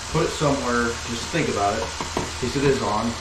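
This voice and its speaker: A man's voice moves at a moderate tempo, its pitch varying in an ordinary way, with loud noise in the background. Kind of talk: casual DIY vlog commentary. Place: garage. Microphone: camera far.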